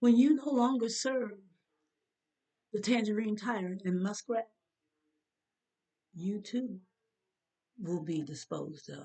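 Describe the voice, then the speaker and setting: A woman with a fairly high pitch and a dark, mellow, somewhat breathy tone, lively intonation, big swings in loudness and long, frequent pauses. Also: fairly slow pace. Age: 70s. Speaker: opinion vlogger. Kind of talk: opinion monologue. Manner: animated.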